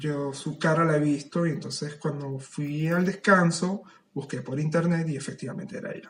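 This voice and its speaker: With an ordinary speaking voice, a man talks at a fairly high pitch and a moderate pace, his intonation fairly even. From Venezuela. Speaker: writer. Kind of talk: casual chat.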